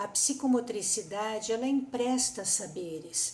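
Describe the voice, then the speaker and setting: Audible room echo surrounds a woman's high-pitched voice. She speaks at a very slow pace. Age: 60s. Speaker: psychomotor therapist. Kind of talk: conference talk.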